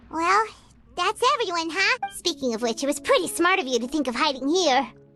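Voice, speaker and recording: A put-on character voice, pitched high, talks at a fairly quick pace over music in the background. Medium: video game. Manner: casual, inquisitive.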